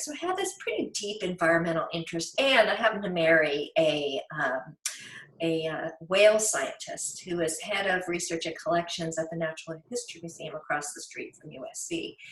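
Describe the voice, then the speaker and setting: A woman speaks at a fairly quick pace with a fairly low pitch and big swings in loudness, amid noticeable background noise. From rural Virginia, US. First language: German. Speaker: author and naturalist. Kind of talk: interview.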